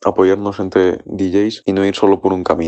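A man's very deep, low voice, fairly slow in pace and monotone, flat in intonation. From Spain, Ávila. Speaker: DJ and producer. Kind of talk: recorded message.

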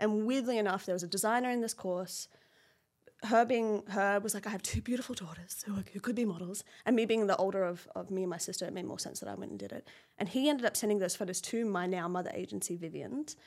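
A woman with a medium pitch races along at a very fast pace, her pitch varying in an ordinary way. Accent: Australian. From Australia, Brisbane. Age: 30s. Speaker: fashion model. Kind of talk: casual interview chat.

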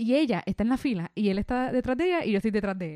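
The speaker talks at a very fast pace in a Puerto Rican accent. The tone is dark and mellow, and the sound is dry and close with no echo. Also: woman. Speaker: podcast co-host. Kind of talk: casual chat.

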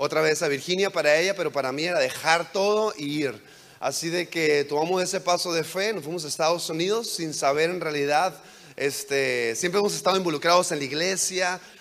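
Noticeable background noise sits behind a man with a high pitch. He speaks at a fairly quick pace with ordinary pitch variation. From Mexico, border with California. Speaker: guest preacher. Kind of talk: sermon. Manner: halting.

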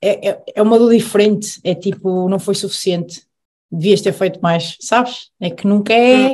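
A woman's somewhat breathy, medium-pitched voice at a moderate pace, with ordinary pitch variation. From Aveiro, Portugal. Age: 20s. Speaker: professional handball player. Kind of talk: casual chat.

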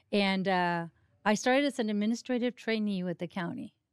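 In a Mexican accent, the speaker talks at a fairly quick pace with ordinary pitch variation, heard in a very clean recording with a silent background and a dry, close sound with no echo. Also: woman. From Mexico. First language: Spanish. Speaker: county government administrator. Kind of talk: interview. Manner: animated.

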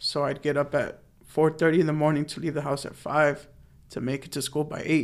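A man with an American accent, fairly high pitch, very fast pace and monotone, flat intonation. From US West Coast, San Fernando Valley, Los Angeles. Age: 20s. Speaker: truck driver. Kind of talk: casual chat. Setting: studio.

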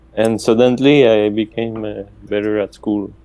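In a Quebec accent, the speaker talks at a fairly slow pace with monotone, flat intonation. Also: man. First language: French. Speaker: professor. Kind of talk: casual interview.

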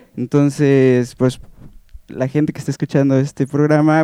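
Against a quiet background, a man talks at a moderate pace and a fairly high pitch. His tone is dark and mellow, and the sound is dry and close with no echo. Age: 20s. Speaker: bass player. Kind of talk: casual interview chat. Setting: radio studio.

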